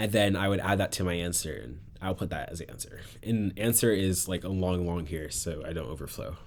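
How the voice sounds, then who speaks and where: This man talks at a fairly quick pace with ordinary pitch variation. His very deep, low voice shows vocal fry. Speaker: competitive programmer explaining contest solutions. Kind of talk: casual tutorial. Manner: hesitant, many fillers.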